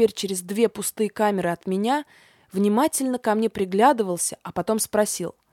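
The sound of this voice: The reading voice sounds unforced and moves through ordinary pitch variation.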